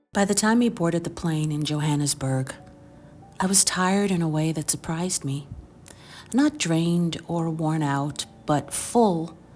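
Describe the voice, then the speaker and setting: Against noticeable background noise, a woman with a fairly low pitch speaks at a fairly slow pace with ordinary pitch variation. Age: middle-aged. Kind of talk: personal storytelling narration.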